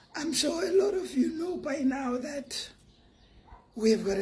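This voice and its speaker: At a fairly slow pace, the voice makes very wide pitch swings amid noticeable background noise and audible room echo. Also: woman. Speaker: online commentator. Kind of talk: monologue commentary.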